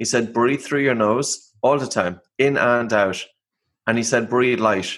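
A man with an Irish accent at a fairly slow pace. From Ireland. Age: 40s. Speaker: breathing expert and author. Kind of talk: interview.

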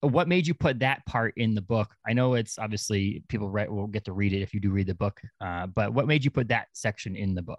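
In a normal speaking voice, a man with a fairly low pitch talks at a fairly quick pace. The sound is dry and close with no echo, over a quiet background. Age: 30s. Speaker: podcast host. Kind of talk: casual interview.

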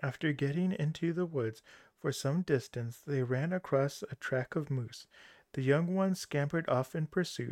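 A man with an unremarkable speaking voice, fairly high pitch and moderate pace, in a dry, close sound with no echo and a quiet background. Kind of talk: scripted narration, audiobook-style fairy tale reading. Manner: storyteller's measured pace, shifting into character voices for dialogue.

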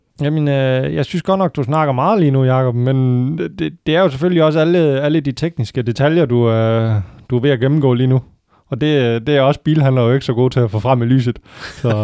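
A man speaks at a medium pitch with ordinary pitch variation and very even loudness. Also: fairly quick pace. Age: 30s. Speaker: used car salesman. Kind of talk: casual chat. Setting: car dealership. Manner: hesitant, many fillers.

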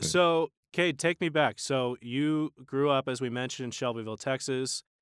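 A man with an unremarkable speaking voice talks at a fairly slow pace and fairly high pitch, with ordinary pitch variation and hardly any pauses. The recording is very clean, dry and close, with a silent background and no echo. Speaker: podcast host. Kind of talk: casual interview chat.

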